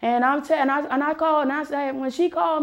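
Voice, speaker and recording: A woman with an American accent, high in pitch, with fairly even intonation. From US. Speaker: talk show host. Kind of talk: monologue.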